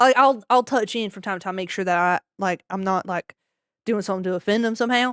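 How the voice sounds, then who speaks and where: Dry and close with no echo, a woman speaks at a fairly quick pace with a Southern US accent and an animated tone. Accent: Southern twang. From Maryland, US. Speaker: streamer. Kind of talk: casual chat. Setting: live stream.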